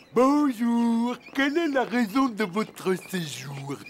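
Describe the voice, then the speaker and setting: In a cartoonish character voice, a man speaks at a very slow pace with an extremely high pitch. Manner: slow, hesitant, stammering.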